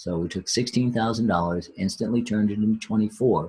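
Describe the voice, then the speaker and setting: This man has a fairly low pitch with ordinary pitch variation. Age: 60s. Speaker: real estate note investor. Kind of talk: live webinar Q&A. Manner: halting, many fillers and repeats.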